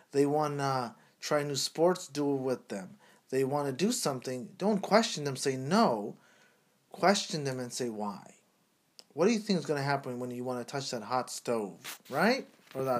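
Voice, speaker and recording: With lively intonation and an animated tone, a man talks at a moderate pace in a fairly high pitch. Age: 30s. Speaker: podcast co-host. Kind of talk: casual chat.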